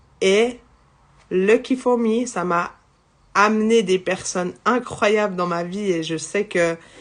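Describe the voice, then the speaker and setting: Against a quiet background, a woman talks at a very slow pace with long, frequent pauses. Her pitch is medium, with ordinary variation. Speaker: psychic medium. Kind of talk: live spiritual guidance. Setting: livestream. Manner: loud; halting.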